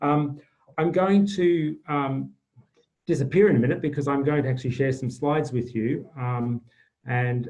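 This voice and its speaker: A man with an Australian accent speaks at a moderate pace, sounding somewhat breathy. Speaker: climate change advisor. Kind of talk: webinar presentation. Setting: video call. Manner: halting, many fillers.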